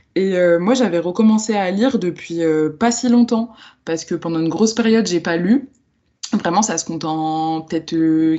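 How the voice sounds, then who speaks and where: Pitch variation in this woman's voice is ordinary. She speaks at a medium pitch. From France, Lyon. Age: 20s. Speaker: book influencer and book club founder. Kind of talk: podcast interview. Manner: hesitant, many fillers.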